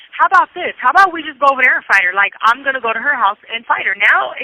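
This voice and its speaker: Talking at a very fast pace, a woman sounds animated, her intonation lively, with noticeable background noise behind her. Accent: American. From Southern California, San Bernardino. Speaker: prison inmate. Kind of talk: testimony. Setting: phone call.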